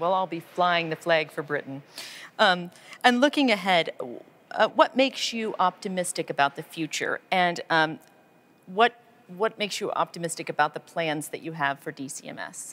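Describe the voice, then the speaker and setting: With an American accent, a woman has a normal speaking voice at a fairly low pitch, speaking at a moderate pace with lively intonation and big swings in loudness. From United States. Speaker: member of parliament. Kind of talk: interview. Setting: on location at a film studio. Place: studio.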